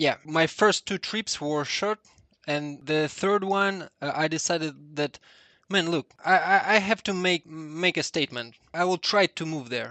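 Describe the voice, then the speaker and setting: Bright and sharp in tone, a man's fairly high voice moves at a fairly slow pace with ordinary pitch variation. The background is quiet. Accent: Russian. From Russia. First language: Russian. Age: 30s. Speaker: 3D artist. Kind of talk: casual chat. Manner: halting.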